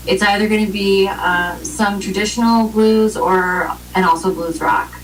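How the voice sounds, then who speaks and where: A woman at a medium pitch with ordinary pitch variation, amid audible room echo and noticeable background noise. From Romania, raised in US from age three. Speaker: blues rock singer. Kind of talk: interview.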